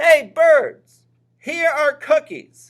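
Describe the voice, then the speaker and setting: A man puts on a character voice. It is squeaky and extremely high-pitched. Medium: read story.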